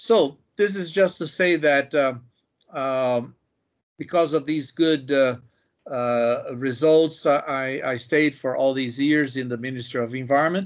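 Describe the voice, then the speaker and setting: A man with a fairly high voice talks at a very slow pace. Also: ordinary pitch variation. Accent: Portuguese. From Brazil, Sao Paulo. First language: Portuguese. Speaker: biologist and environmental policy expert. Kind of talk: interview. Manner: halting, many fillers.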